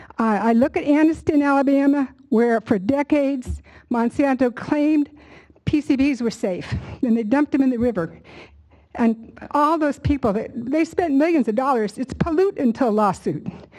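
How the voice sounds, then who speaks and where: A woman with a high pitch, ordinary pitch variation and a dark, mellow tone speaks at a moderate pace. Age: 70s. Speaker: public commenter. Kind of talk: public hearing testimony. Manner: impassioned.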